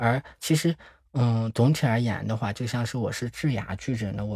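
A man talks at a fairly quick pace in a somewhat breathy voice, on a very clean recording with a silent background. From Shandong, China (Zibo). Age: 30s. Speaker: HIV support project manager. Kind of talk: interview testimony.

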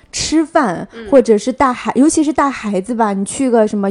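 A woman speaks at a moderate pace, her voice high in pitch with ordinary variation. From Jiangsu, China. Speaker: podcast host. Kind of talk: casual chat.

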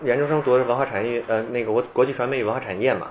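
A man's voice over noticeable background noise. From Beijing, China. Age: 30s. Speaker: skateboarder and skateboarding researcher. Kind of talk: casual chat.

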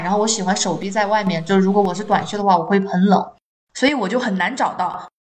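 A woman talks at a fairly quick pace and a medium pitch in an unremarkable speaking voice. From Chongqing, China. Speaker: podcast co-host, teacher. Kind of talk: casual chat.

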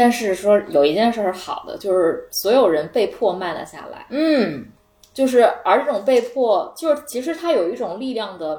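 The woman's pitch swings very widely. She talks at a moderate speed. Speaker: returning guest. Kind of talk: casual chat. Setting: living room at a friend's home.

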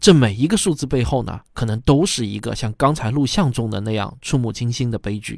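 A man talks at a fairly quick pace with hardly any pauses, in an unremarkable speaking voice at medium pitch with ordinary pitch variation. The recording is very clean, with a silent background. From China. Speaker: podcast host, commentator. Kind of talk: scripted commentary monologue.

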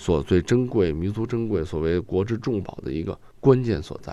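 A man with a very deep, low pitch and a dark, mellow tone speaks at a moderate pace. His intonation is lively, with vocal fry. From Guangdong, China. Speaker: calligrapher. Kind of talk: casual discussion.

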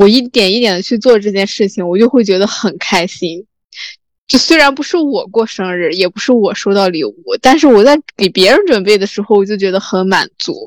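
Speaking at a fairly quick pace, a woman with a plain, everyday voice uses lively intonation at a medium pitch. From rural China. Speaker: podcast host. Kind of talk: casual chat.

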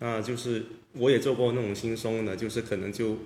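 A man talks at a fairly quick pace in a flat, monotone way, his voice somewhat breathy. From Guangdong. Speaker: sculptor and artist. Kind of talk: casual chat.

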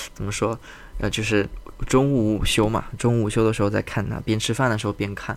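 A man speaks quietly at a fairly quick pace. His pitch is fairly low and his intonation monotone and flat. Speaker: podcast host. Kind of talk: casual monologue. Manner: calm, quiet; hesitant, many fillers.

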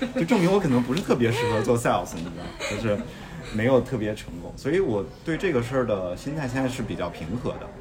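Man at medium pitch talking at a very fast pace, very wide pitch swings, audible room echo and noticeable background noise. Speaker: podcast host. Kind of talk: casual chat.

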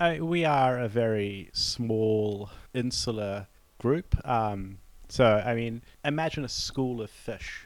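In a New Zealand accent, a man talks at a very slow pace and medium pitch with ordinary pitch variation. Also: very clean recording, silent background. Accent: Kiwi. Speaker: diplomat. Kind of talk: interview conversation.

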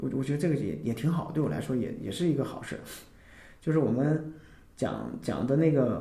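Recorded with audible room echo, a man speaks fairly quickly at a fairly high pitch, his dark, mellow tone touched with vocal fry and ordinary pitch variation. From Northeast China. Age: 30s. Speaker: amateur band member and office worker. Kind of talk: casual interview chat.

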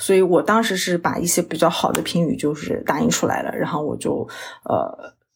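A woman with an ordinary speaking voice, pitched fairly low, moves at a moderate pace, her pitch varying in an ordinary way. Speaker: registered dietitian, diabetes educator. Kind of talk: interview conversation.

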